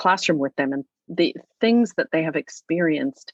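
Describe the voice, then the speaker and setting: A woman at a moderate pace, in a dry, close sound with no echo. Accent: Canadian. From Alberta, Canada. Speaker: novelist and writing teacher. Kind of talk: interview conversation. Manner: hesitant fillers, self-corrections.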